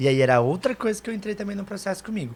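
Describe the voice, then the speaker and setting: A man's somewhat breathy voice comes through. He speaks very fast and with lively intonation. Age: 30s. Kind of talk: testimony.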